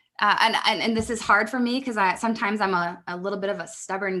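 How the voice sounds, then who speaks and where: A woman rattles off words very fast while noticeable noise runs underneath. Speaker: business mentor. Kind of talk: podcast interview. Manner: conversational, hesitant fillers.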